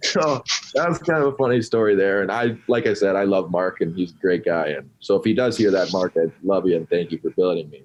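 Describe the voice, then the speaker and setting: In an ordinary speaking voice with an American accent, the speaker moves at a fairly quick pace with lively intonation. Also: man, fairly low pitch for a man. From Sartell, Minnesota. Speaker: college hockey player. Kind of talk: interview answer.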